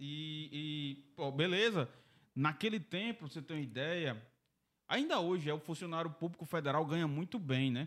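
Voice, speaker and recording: In an unremarkable speaking voice, a man talks at a fairly high pitch and a moderate pace with ordinary pitch variation. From Brazil, Mossoró (Rio Grande do Norte). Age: 30s. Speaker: entrepreneur. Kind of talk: casual interview.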